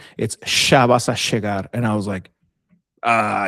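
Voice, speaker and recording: The voice carries vocal fry with ordinary pitch variation. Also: man. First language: Spanish. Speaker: army veteran and podcaster. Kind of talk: casual chat. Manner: many fillers and restarts.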